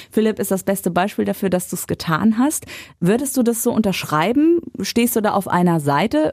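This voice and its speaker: A woman speaks at medium pitch and a fairly quick pace, her tone dark and mellow. Her intonation is lively, and the recording is very clean with a silent background. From western Germany (North Rhine-Westphalia). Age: 30s. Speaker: radio presenter and podcast host. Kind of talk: casual interview.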